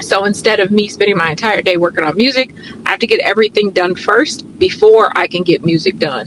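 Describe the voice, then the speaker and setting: Her voice sits at a medium pitch. There is noticeable background noise around this woman. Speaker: wellness coach and fitness instructor. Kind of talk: casual vlog narration. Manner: casual, relaxed.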